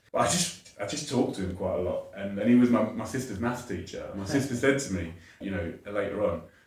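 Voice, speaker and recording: A man speaks at a fairly quick pace. There is audible room echo and noticeable background noise. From southern England, Watford. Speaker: educator and charity founder. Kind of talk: podcast interview.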